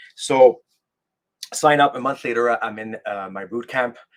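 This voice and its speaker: In a French Canadian accent, a man talks at a moderate pace with a medium pitch and ordinary pitch variation. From Quebec, French Canada. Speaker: military veteran and life coach. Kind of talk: podcast interview, personal story. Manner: halting, many fillers and restarts.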